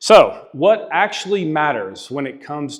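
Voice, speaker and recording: The background is quiet as a man speaks. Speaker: conference speaker on international tax. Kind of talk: conference presentation. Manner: fast.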